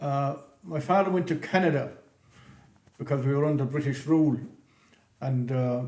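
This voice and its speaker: Somewhat breathy and fairly high-pitched, a man talks at a moderate pace with fairly even intonation and long, frequent pauses, his voice echoing audibly in the room. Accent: Clare. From west Clare, Ireland. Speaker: businessman. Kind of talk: interview, life story. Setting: museum, filmed podcast. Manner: hesitant, many fillers.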